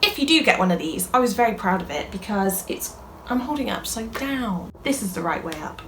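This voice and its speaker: Fairly high in pitch and animated in tone, a woman with a British accent talks at a fairly quick pace with lively intonation, amid audible room echo and noticeable background noise. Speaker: YouTuber, crafts creator. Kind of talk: casual vlog chat. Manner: fast.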